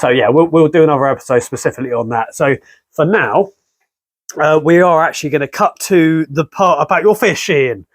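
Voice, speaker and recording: A man with an English accent, fairly high-pitched, with lively intonation, a fairly quick pace and a quiet background. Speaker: car restoration YouTuber. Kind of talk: casual chat; casual vlog chat. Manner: whispering.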